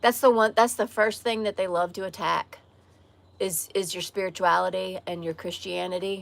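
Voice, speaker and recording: At a moderate pace, a woman talks with a slight Southern US accent. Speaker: live streamer. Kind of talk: casual chat.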